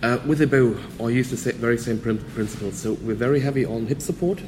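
Noticeable background noise under fairly quick talking with ordinary pitch variation. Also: man. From Germany. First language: German. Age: 20s. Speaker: physicist and karate instructor. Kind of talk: interview. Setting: hotel lobby.

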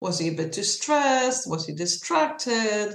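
With a Dutch accent, a woman speaks with very wide pitch swings, and audible room echo surrounds her voice. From Netherlands. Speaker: animal behavior consultant and trainer. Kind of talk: interview.

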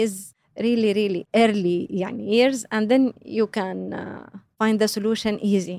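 A woman with an Arabic accent, fairly high pitch, fairly even intonation and a moderate pace, on a very clean recording with a silent background and a dry, close sound with no echo. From Jordan. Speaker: career coach and parent. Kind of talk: interview. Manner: hesitant, many fillers.

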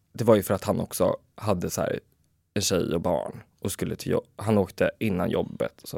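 A man talks at a moderate pace, with a dry, close sound and no echo. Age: 20s. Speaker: podcast co-host. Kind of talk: casual chat.

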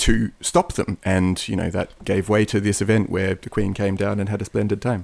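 With a British accent, a man speaks at a fairly low pitch and moderate pace, his intonation monotone and flat, with hardly any pauses. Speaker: podcast host. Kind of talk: scripted intro then casual chat.

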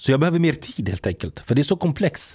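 The intonation of this man's voice is lively. It comes through in a very clean recording with a silent background. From Sweden, Gothenburg (Angered). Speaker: former salafist preacher. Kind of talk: interview. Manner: animated; halting.

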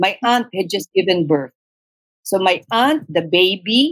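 A woman's fairly low-pitched voice in a Filipino accent, at a very slow pace, with very wide pitch swings. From southern Philippines. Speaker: podcast host. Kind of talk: casual conversation. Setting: remote call.

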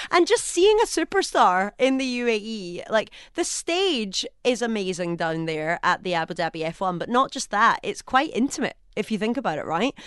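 A woman with a Scottish accent talks at a moderate pace with hardly any pauses, her fairly high pitch swinging very widely. The background is quiet. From Scotland. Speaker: radio presenter. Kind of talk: casual chat. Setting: studio. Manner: animated.

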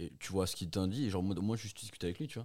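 A man's dark, mellow tone at a very fast pace. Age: 20s. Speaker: podcast guest. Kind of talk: casual chat.

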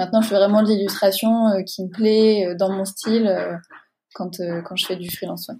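At a moderate pace with long, frequent pauses, a woman of medium pitch speaks in a somewhat breathy, dark, mellow voice with monotone, flat intonation and big swings in loudness. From France, Deux-Sèvres. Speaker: illustrator and graphic designer. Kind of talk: interview. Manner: hesitant, many fillers.

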